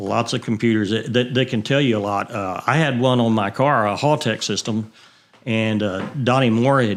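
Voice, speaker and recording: Fairly even intonation in a Texan accent. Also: man. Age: 60s. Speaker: retired racer and fuel supplier. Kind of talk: casual interview. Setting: studio.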